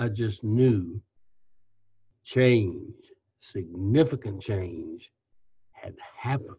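A man's somewhat breathy, medium-pitched voice with an American accent, a dark, mellow tone, ordinary pitch variation, a very slow pace and long, frequent pauses. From Kentucky, US South. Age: 80s. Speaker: retired company CEO, author. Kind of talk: interview, reflective storytelling. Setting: remote call.

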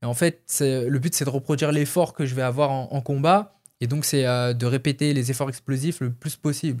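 A man with a normal speaking voice talks at a fairly quick pace, fairly high in pitch, with fairly even intonation. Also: very clean recording, silent background. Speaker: MMA fighter. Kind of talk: casual interview.

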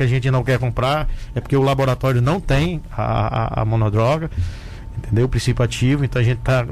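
Through noticeable background noise, a man speaks at a medium pitch with fairly even intonation. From Brazil, Rio Grande do Norte (Mossoró). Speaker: doctor and municipal health secretary. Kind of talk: radio interview. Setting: radio studio.

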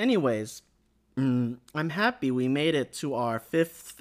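On a very clean recording with a silent background, a man speaks in an upbeat, animated tone with ordinary pitch variation. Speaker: anime news podcast host. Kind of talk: solo podcast news roundup. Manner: upbeat and animated.

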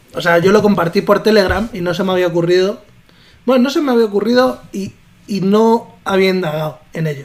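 A man talks at a fairly quick pace with a high pitch and ordinary pitch variation. Noticeable background noise is present. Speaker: podcast co-host. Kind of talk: casual chat.

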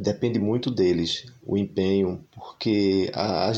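A plain, everyday voice from a man, fairly low in pitch, with ordinary pitch variation. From Brazil, Recife (Pernambuco). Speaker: singer-songwriter and music teacher. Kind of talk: interview conversation.

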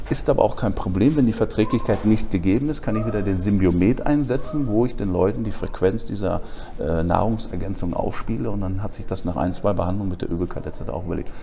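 A man with a fairly low voice talks at a very fast pace with lively intonation, amid noticeable background noise and audible room echo. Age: 40s. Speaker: alternative medicine therapist. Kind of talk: interview.

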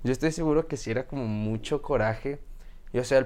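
This man has a Mexican accent and a medium pitch. His pitch varies in an ordinary way. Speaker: podcast host. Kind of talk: interview. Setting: video podcast.

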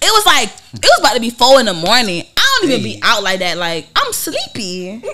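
A woman talks at a fairly quick pace while noticeable background noise is heard. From Savannah, Georgia, US South. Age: 20s. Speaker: rapper. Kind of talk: casual chat.

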